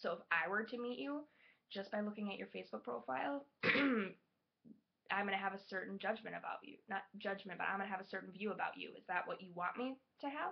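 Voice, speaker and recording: A woman at medium pitch speaks at a fairly quick pace with lively intonation and vocal fry. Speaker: server. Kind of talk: class informative speech.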